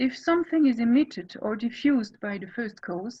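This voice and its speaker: Lively intonation marks this woman's fairly high voice. She speaks with a French accent. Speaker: philosophy scholar. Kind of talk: academic lecture. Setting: video call.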